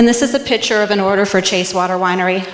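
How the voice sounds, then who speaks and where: Over noticeable background noise, a woman speaks at medium pitch with fairly even intonation. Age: 40s. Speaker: small business owner, soap maker. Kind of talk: pitch presentation.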